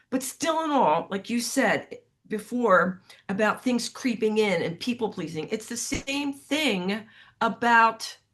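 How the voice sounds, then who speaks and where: Against a quiet background, a woman with a fairly high pitch speaks very slowly. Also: lively intonation. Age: 60s. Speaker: podcast host. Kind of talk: casual chat. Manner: animated.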